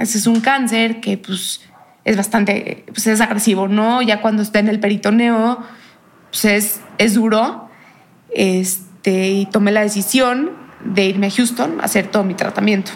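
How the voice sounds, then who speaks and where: Over noticeable background noise, a woman talks at a fairly slow pace. Her fairly high voice stays monotone, with flat intonation. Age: young. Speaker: cancer survivor. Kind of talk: interview testimony.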